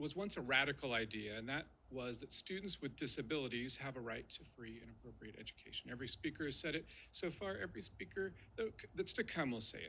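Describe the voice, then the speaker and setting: A man speaks very fast at a medium pitch with a bright, sharp tone and vocal fry. His intonation is lively, and his loudness swings widely. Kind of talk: formal speech.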